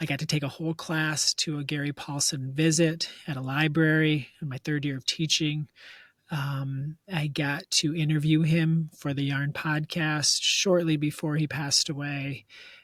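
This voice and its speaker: In an American accent, a man with a fairly high pitch talks at a moderate pace in a monotone, flat intonation, on a very clean recording with a silent background. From Michigan, US. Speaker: elementary school teacher. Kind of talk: interview. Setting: classroom.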